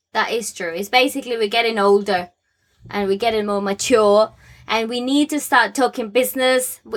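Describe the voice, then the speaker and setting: Ordinary pitch variation runs through a woman's plain, everyday voice. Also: fairly high pitch for a woman, moderate pace. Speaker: podcast host, UX designer. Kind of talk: casual podcast chat.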